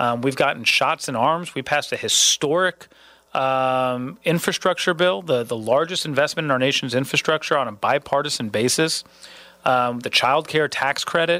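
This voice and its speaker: A man with a bright, sharp tone, fairly high pitch, ordinary pitch variation and a moderate pace. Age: 30s. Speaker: political candidate. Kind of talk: interview.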